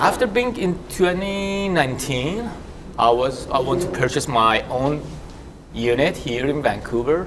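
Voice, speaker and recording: A man talks at a fairly slow pace with lively intonation. Noticeable background noise and audible room echo surround him. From abroad, not Canada. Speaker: real estate agent. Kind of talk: panel discussion.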